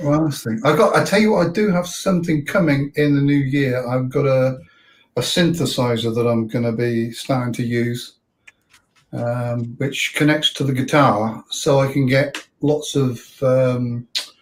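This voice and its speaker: A somewhat breathy man speaks at a fairly slow pace with ordinary pitch variation. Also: medium pitch for a man. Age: 60s. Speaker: motorcycle vlogger and hobby guitarist. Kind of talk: casual chat.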